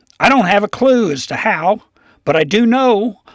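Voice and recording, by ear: Reading aloud in a natural voice, with ordinary pitch variation, over a quiet background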